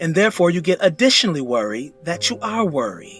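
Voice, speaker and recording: Over music in the background, a man speaks at a moderate pace with very wide pitch swings. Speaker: voice actor. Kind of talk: philosophical narration. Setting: with background music.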